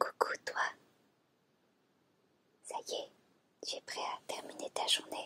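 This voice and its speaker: A woman whispers at a very slow pace, leaving long, frequent pauses. The sound is dry and close, with no echo. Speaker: ASMR creator. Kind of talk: improvised girlfriend roleplay talk to the listener. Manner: soft-spoken, caring.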